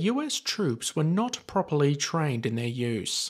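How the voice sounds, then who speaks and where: A man's fairly high-pitched voice, a plain, everyday voice, at a fairly slow pace on a very clean recording with a silent background. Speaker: history video narrator. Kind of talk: scripted WWII documentary narration, steady and authoritative. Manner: measured, even-paced, formal and clear.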